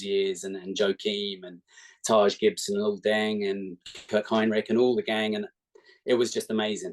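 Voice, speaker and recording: At a moderate pace, a man with an English accent speaks in a fairly low pitch with monotone, flat intonation. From England, Milton Keynes. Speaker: basketball fan, podcast guest. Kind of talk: casual chat.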